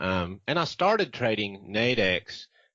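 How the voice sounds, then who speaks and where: Speaking in a Southern US accent, a man talks at a fairly low pitch. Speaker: trader. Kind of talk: interview. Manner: halting, many fillers.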